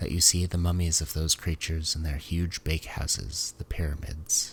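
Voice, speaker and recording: A soft-spoken man talks at a moderate pace with a very deep, low voice that is somewhat breathy. His intonation is fairly even on a very clean recording with a silent background. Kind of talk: sleep story reading. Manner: soft-spoken, quiet, low; not whispered.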